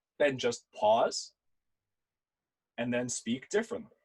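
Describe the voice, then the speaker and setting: A man's animated tone with very wide pitch swings. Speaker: debate instructor. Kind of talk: workshop lecture. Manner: fast.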